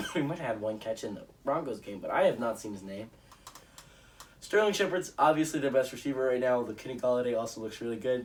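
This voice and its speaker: Very fast, medium-pitched male speech with lively intonation and noticeable background noise. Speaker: sports YouTuber. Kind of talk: solo sports predictions monologue. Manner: animated.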